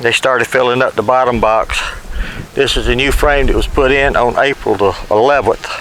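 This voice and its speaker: A man talks at a moderate pace in a Southern US accent. Noticeable background noise is present. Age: 70s. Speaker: beekeeper. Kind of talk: tutorial. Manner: casual.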